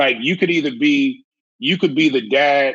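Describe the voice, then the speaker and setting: The speaker is a man with a fairly high pitch. His pitch varies in an ordinary way, and his pace is moderate. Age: 40s. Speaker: fitness trainer. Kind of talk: casual chat. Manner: animated.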